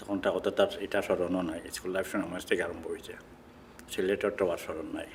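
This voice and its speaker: A man speaks with a Sylheti accent. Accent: Sylheti Bengali. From Bangladesh, Sylhet. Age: 70s. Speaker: immigrant interviewee, retired worker. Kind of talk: oral history interview. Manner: halting.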